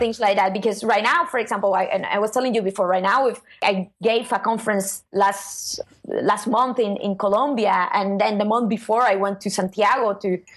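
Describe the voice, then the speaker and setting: A woman's medium-pitched voice at a moderate pace, with fairly even intonation and very even loudness, over noticeable background noise. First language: not English. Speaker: SEO consultant. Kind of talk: interview answer. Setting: online call.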